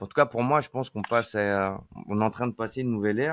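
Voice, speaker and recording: Talking at a very fast pace, a man uses ordinary pitch variation. The sound is dry and close with no echo, over a quiet background. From France, rural Deux-Sèvres. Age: 40s. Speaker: iOS software engineer. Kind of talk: casual interview chat. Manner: hesitant, many fillers and repetitions.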